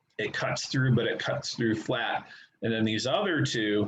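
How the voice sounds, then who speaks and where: There is audible room echo as a man talks at a moderate pace in a somewhat breathy, medium-pitched voice with ordinary pitch variation. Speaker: high school math teacher. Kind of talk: online class lecture.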